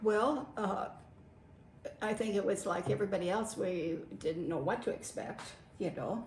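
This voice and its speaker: A woman speaks at a moderate pace in an American accent, her medium pitch showing ordinary variation and broken by long, frequent pauses. Audible room echo and noticeable background noise fill the recording. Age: 80s+. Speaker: WW2-era farm witness. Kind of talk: interview.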